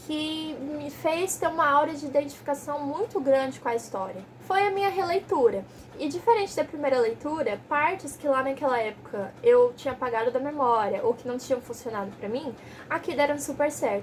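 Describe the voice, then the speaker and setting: Over noticeable background noise, a woman speaks high-pitched in an animated tone. Her pitch swings very widely. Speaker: book youtuber. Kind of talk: casual book review vlog. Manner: fast.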